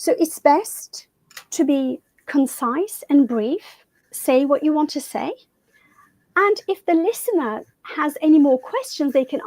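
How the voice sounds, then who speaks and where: Her high pitch rising and falling in lively intonation, a woman speaks at a fairly slow pace. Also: dry, close sound with no echo. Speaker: communication coach. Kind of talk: interview.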